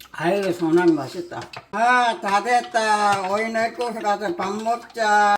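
A woman speaks at a very slow pace in a fairly high pitch. Noticeable background noise runs underneath. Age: 80s+. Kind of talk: casual cooking talk at home.

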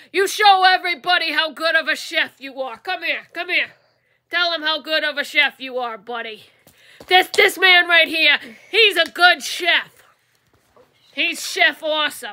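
A cartoonish character voice at an extremely high pitch comes with long, frequent pauses. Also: moderate pace. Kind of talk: puppet show. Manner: casual, slangy.

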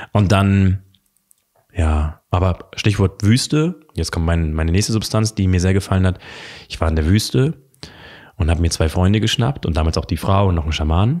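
Speaking at a moderate pace, a man has a very deep, low pitch and ordinary pitch variation. He leaves long, frequent pauses against a quiet background. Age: 20s. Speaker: coach; interview guest. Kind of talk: casual chat. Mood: calm, reflective. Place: home room. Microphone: studio mic.

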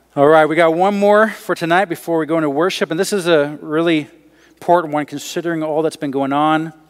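Speaking at a fairly quick pace against a quiet background, a man has an unremarkable speaking voice, a fairly high pitch and fairly even intonation. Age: young. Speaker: pastor. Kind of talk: sermon. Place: church.

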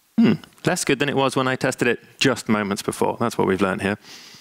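A man talks at a fairly quick pace and medium pitch, with a fairly bright tone, some vocal fry, and ordinary pitch variation.

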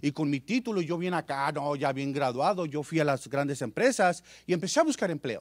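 With an animated tone and ordinary pitch variation, a man speaks at a fairly quick pace in a very clean recording with a silent background. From Mexicali, Baja California, Mexico. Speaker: business presenter. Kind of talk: sales pitch. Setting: stage with audience.

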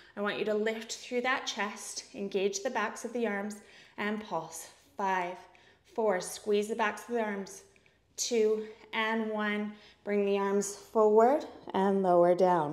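Speaking at a very slow pace, a woman keeps a fairly even intonation. Audible room echo surrounds her voice. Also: medium pitch for a woman. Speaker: fitness instructor. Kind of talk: live-cued pilates class instruction, counting down reps. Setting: at-home workout video. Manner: rhythmic counting paired with breath cues. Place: home room.

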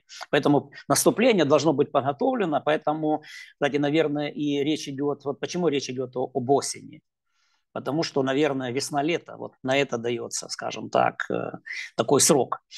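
A man speaks at a moderate pace in a fairly high pitch, his intonation fairly even, with a quiet background behind him. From Ukraine. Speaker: political analyst. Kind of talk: interview. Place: home room. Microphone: earbuds.

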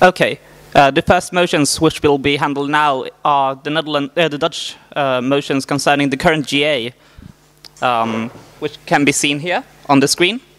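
With fairly even intonation, a man talks at a moderate pace. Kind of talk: meeting chairing announcement. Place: hall. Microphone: handheld.

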